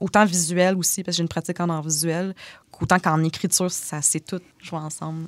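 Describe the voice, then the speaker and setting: Recorded dry and close with no echo, a woman talks at a fairly quick pace in a flat monotone at a fairly low pitch. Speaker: author. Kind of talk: casual interview conversation. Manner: slight speech difficulty when stressed.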